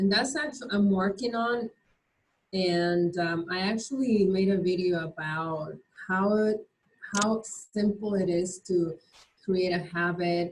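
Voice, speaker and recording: A woman with a non-native accent speaks at a fairly slow pace. Her medium-pitched voice is somewhat breathy, with ordinary pitch variation. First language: not English. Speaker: mastermind group participant. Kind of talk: group discussion.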